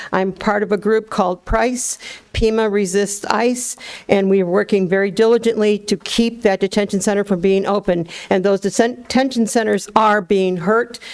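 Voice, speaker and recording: Amid noticeable background noise, a woman talks at a moderate pace and medium pitch, her loudness very even and her intonation fairly even. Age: 70s. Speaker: activist. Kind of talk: public comment at government meeting. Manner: impassioned.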